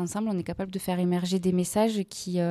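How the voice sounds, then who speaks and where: A woman speaks at a fairly quick pace in a monotone, flat delivery with a dark, mellow tone, on a very clean recording with a silent background. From Aveyron, southern France (Rodez). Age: 20s. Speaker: freelance journalist and podcaster. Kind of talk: interview.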